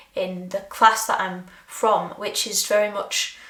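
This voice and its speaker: Audible room echo surrounds a woman speaking at medium pitch. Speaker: creativity coach. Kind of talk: reflective monologue. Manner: hesitant, many fillers.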